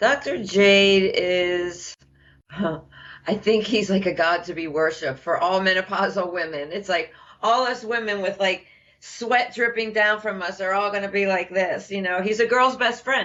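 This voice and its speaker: Speaking at a fairly slow pace, a woman has an unremarkable speaking voice at a medium pitch with ordinary pitch variation. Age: 50s. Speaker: program participant. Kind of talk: testimony.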